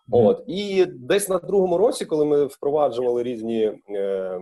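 This man speaks at a fairly slow pace. His tone is dark and mellow. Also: quiet background. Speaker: guest. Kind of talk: interview answer. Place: home room. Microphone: earbuds.

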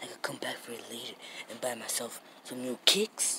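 Delivered at a moderate pace, a raspy put-on character voice comes through over light background noise. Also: man. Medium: puppet show. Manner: smug, teasing.

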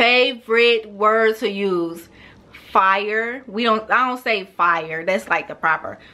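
A woman with a St. Louis accent, very slow pace and ordinary pitch variation. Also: fairly high pitch for a woman. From St. Louis, Missouri. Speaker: beauty vlogger. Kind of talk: casual talk to camera. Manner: casual, chatty. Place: home room. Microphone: camera far.

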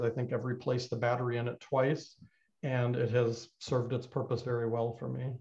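A man speaks in a somewhat breathy voice. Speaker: clay instructor. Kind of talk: tutorial. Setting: live online broadcast from studio. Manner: informal, hesitant with fillers. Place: studio. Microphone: webcam.

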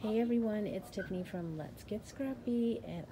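Over noticeable background noise, a woman speaks with ordinary pitch variation. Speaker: crafting channel host. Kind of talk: casual vlog chat. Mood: cheerful, excited. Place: shop. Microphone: phone near.

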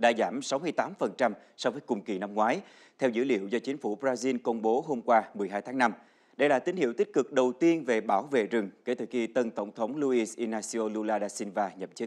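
With a quiet background, a man speaks at a moderate pace, his pitch varying in an ordinary way. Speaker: news anchor. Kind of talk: news reading. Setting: studio. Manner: formal. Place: studio. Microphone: lapel.

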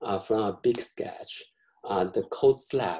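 A man's dark, mellow, somewhat breathy voice at a fairly slow pace, with ordinary pitch variation over a quiet background. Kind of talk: lecture. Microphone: webcam.

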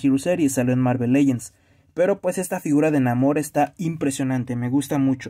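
The tone is dark and mellow, in a Mexican accent. The pace is fairly quick, with ordinary pitch variation and a quiet background. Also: man. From Mexico. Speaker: YouTuber reviewing toys. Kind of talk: unboxing video. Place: home room. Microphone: phone near.

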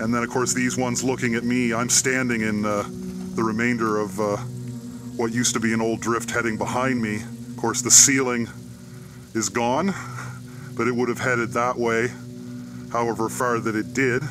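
Music plays in the background while a man talks at a moderate pace. His intonation is monotone and flat, with long, frequent pauses. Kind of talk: casual vlog commentary. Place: open country.

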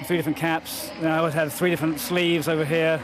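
With noticeable background noise but a dry sound with no echo, a man speaks at a fairly high pitch with fairly even intonation. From England. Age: 50s. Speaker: javelin thrower and artist. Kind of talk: interview answer. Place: stadium. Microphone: handheld.

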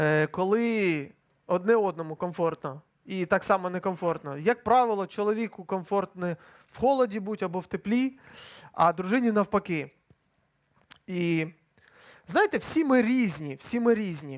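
A man with lively intonation at a fairly slow pace, long, frequent pauses, and a quiet background. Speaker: preacher. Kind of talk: sermon. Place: church. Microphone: headset.

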